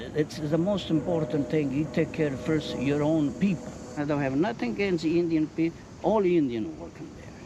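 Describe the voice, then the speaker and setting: Speech at a moderate pace against noticeable background noise. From Italy. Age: 70s. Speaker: local resident interviewee. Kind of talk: street interview.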